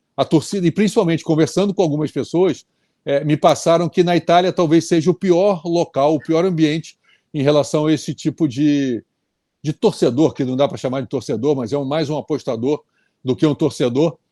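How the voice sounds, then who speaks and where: A dark, mellow tone at a moderate pace with ordinary pitch variation, dry and close with no echo, over a quiet background. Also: man, fairly high pitch for a man. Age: 60s. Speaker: tennis commentator. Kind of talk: casual chat.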